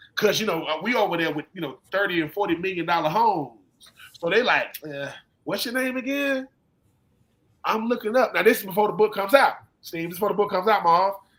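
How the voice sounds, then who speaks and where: Talking very fast, a man with a Southern US accent uses a high voice and lively intonation. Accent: Southern US (Georgia). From US South, Georgia (Swainsboro). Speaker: former football player and author. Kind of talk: casual chat. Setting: live stream. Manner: animated.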